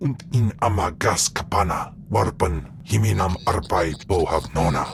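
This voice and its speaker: Clear background noise beneath a man's put-on character voice, pitched very deep and low, at a moderate pace. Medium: video game.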